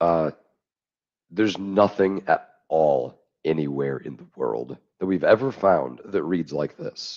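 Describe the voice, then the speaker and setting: Very slowly, a man with a very deep, low pitch talks with lively intonation. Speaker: Bible manuscript commentator. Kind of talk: podcast interview discussion. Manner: halting, many fillers.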